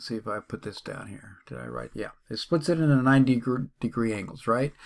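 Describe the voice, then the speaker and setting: This man has an ordinary speaking voice with fairly high pitch and lively intonation, recorded very cleanly against a silent background. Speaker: math teacher. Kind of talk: tutorial.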